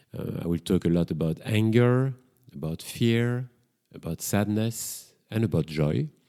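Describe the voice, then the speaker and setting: In a strong French accent, a man with a dark, mellow tone and fairly low pitch speaks at a fairly slow pace with lively intonation. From Belgium, Brussels. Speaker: psychotherapist and podcast host. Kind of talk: solo podcast monologue. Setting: home kitchen.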